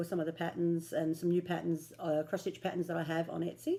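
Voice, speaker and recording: In an Australian accent, a woman speaks with fairly low pitch, a dark, mellow tone and fairly even intonation. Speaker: cross stitch vlogger. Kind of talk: casual vlog chat. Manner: casual with frequent fillers.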